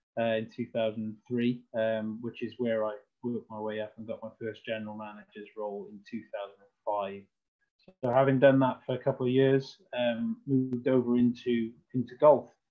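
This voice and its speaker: A man with a Welsh accent speaks at a moderate pace in a medium pitch, his intonation flat and monotone while his loudness swings widely. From Wales, Cardiff. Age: 40s. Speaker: golf club general manager. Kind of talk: presentation.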